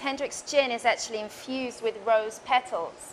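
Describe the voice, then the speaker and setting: This woman has an English accent and a fairly high pitch. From England, London. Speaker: bartender. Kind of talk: tutorial. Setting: bar.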